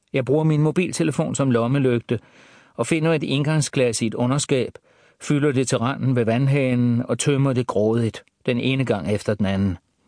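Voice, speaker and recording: Against a quiet background, a man with a medium-pitched, dark and mellow voice talks at a moderate pace with ordinary pitch variation and very even loudness, the sound dry and close with no echo. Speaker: audiobook narrator. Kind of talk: audiobook reading of a first-person crime thriller. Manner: hushed, tense, calculating inner monologue.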